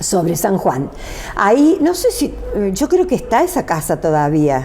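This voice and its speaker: Through noticeable background noise, a woman speaks at a fairly slow pace with very even loudness. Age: 70s. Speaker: interviewee recalling life story. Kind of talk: casual interview. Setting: at her home.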